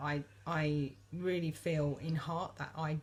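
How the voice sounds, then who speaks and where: A woman speaks with a very deep, low pitch and somewhat breathy quality. Her intonation stays monotone and flat. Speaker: vlogger. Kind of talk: casual monologue. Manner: hesitant, many fillers.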